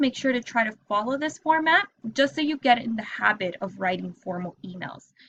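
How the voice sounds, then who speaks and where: A woman's bright, sharp tone with lively intonation at a moderate pace. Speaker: teacher. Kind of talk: tutorial.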